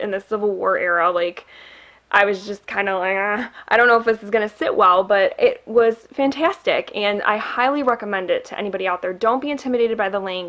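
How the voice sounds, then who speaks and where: In a Midwestern accent, a woman with a medium pitch and a bright, sharp tone speaks at a fairly quick pace with ordinary pitch variation on a very clean recording with a silent background. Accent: Midwest. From Michigan, US Midwest. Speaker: booktuber. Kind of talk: casual book review vlog. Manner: chatty, many fillers.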